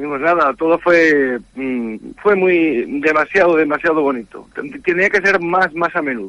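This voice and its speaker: A man's high voice shows ordinary pitch variation as he talks fairly slowly. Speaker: classic motorcycle enthusiast. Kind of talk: phone interview. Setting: phone call. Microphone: faint, distant line.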